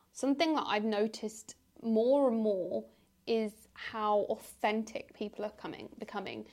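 A woman speaks in an ordinary speaking voice, fairly high-pitched, at a moderate pace with ordinary pitch variation. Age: 20s. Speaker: podcast host. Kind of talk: casual chat.

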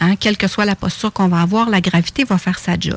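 A woman speaks at a medium pitch with ordinary pitch variation, somewhat breathy. The sound is dry and close, with no echo. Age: 50s. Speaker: face yoga teacher. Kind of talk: radio interview.

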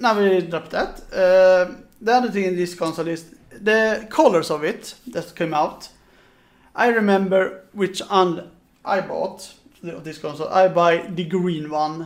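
At a fairly slow pace, the speaker talks with a Swedish accent. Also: man, high pitch for a man, ordinary pitch variation. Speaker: podcast host. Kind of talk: casual chat.

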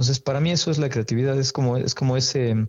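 At a moderate pace, a man speaks in a medium-pitched, somewhat breathy voice. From Mexico City. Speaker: photographer. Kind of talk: interview.

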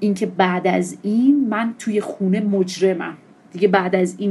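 A woman with a plain, everyday voice speaks at a moderate pace, her medium pitch held in fairly even intonation. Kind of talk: testimony.

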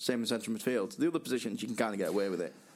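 The voice belongs to a man with a medium pitch. He rushes along at a very fast pace. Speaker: podcast co-host. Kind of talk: casual chat about football.

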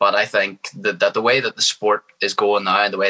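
A voice in a Northern Irish accent, with a dry, close sound and no echo. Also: man. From Northern Ireland. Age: 20s. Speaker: professional MMA fighter. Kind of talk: casual interview. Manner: confident, energetic.

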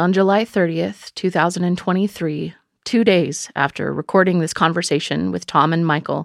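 A woman uses a normal speaking voice at a fairly low pitch with ordinary pitch variation, at a fairly slow pace. The sound is dry and close with no echo, in a very clean recording with a silent background. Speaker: podcast narrator and host. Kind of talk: scripted narration.

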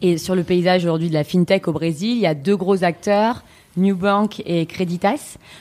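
Speaking at a moderate pace, a woman with a dark, mellow tone keeps her loudness very even, at medium pitch with ordinary pitch variation. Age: 30s. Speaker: podcast host. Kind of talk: interview. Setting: office.

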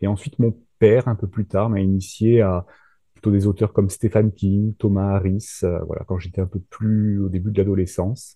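A man delivers his words in a monotone, flat intonation, his pitch fairly low and his pace moderate. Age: 30s. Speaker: thriller author and nurse. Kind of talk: casual interview. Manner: hesitant, many fillers.

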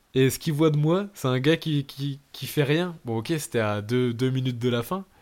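A man with an ordinary speaking voice at medium pitch, moderate pace and ordinary pitch variation. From northern France, Lille. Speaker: podcast host. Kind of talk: casual chat. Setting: remote recording.

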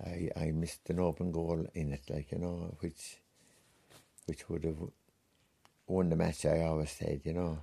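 A man's very deep, low voice with a Wexford accent, dark and mellow in tone, flat and monotone, at a moderate pace with long, frequent pauses. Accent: rural Wexford Irish. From Ireland, County Wexford. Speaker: retired hurler. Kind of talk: reminiscing interview.

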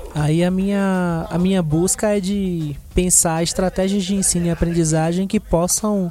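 The speech is fairly slow, with hardly any pauses. Its intonation is monotone and flat. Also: man, high pitch for a man. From Brazil, Salvador, Bahia. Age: 20s. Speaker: graffiti artist. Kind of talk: interview. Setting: studio.

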